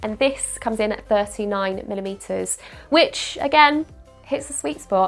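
Someone talks at a fairly slow pace while music plays in the background. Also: woman. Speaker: watch reviewer. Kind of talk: casual talk to camera.

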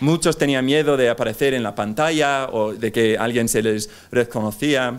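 Speaking with an English accent, a man keeps a moderate pace and ordinary pitch variation. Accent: English accent in Spanish, non-native. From England. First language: English (speaking Spanish). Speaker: speaker, journalist. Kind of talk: conference talk. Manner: halting, many fillers. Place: hall. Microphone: podium.

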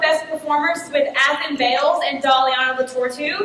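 A woman with a Texan accent speaks loudly in a high voice with fairly even intonation, amid noticeable background noise and audible room echo. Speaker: theatre teacher. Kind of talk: speech at a public meeting.

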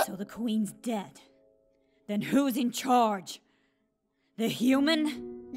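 A put-on character voice, female-sounding and fairly high, at a very slow pace with long, frequent pauses over faint music in the background. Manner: aggressive, shouting.

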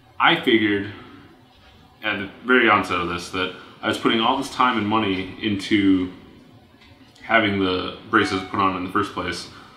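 A man speaks at a fairly low pitch with fairly even intonation. Room echo is audible, along with light background noise. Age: 20s. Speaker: vlogger. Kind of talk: personal video blog monologue. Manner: hesitant with fillers and repetitions. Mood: calm, friendly. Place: home room.

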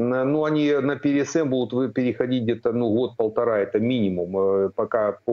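The speech moves at a moderate pace with very even loudness and ordinary pitch variation. The background is quiet. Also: man. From Ukraine. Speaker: military analyst, retired air force colonel; military analyst. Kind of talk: news interview. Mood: calm analytical. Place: home room. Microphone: video call.

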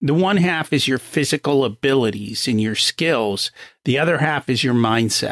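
Recorded with a dry, close sound and no echo, a man talks at a moderate pace, his pitch swinging very widely. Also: very clean recording, silent background. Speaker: podcast host. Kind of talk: interview.

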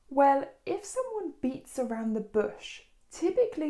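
In a British accent, a woman speaks at a fairly slow pace in a high pitch. Her tone is dark and mellow, over a quiet background. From United Kingdom. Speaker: English teacher. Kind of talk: tutorial. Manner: clear, deliberate.

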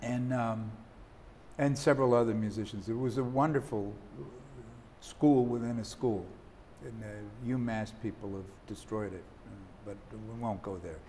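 Somewhat breathy, a man speaks at a moderate pace with ordinary pitch variation, big swings in loudness and long, frequent pauses over light background noise. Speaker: saxophonist and jazz author. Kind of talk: interview. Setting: studio. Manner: halting. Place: studio. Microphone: lapel.

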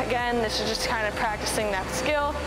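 Over music in the background, a woman talks at a fairly quick pace with ordinary pitch variation. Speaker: fitness coach. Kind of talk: casual workout tutorial outro. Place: gym. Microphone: camera far.

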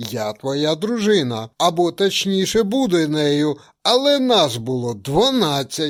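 In a put-on character voice, a man shouts at a fairly high pitch and a fairly slow pace, his pitch swinging very widely, on a very clean recording with a silent background. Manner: shouted, indignant.

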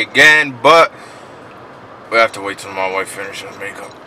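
A man talks at a fairly quick pace with light background noise. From Connecticut. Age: 20s. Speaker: vlogger. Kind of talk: casual vlog talk to camera. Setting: road trip, motel and car. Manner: animated. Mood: happy, relieved. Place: car. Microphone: phone near.

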